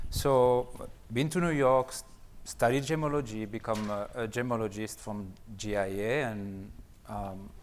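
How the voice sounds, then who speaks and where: In a room with audible echo, a man with a French accent talks at medium pitch with ordinary pitch variation. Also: fairly slow pace. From France. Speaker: gemologist and company co-founder. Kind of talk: conference seminar talk.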